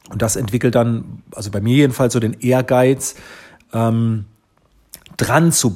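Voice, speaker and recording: The man's tone is dark and mellow, sitting at a medium pitch. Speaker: photographer and social media entrepreneur. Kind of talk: interview answers. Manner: frequent hesitation fillers.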